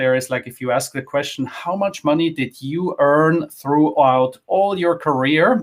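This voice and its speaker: A man's ordinary speaking voice, fairly high-pitched, at a moderate pace with ordinary pitch variation. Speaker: finance content creator, former wealth manager. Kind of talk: interview. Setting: live online session.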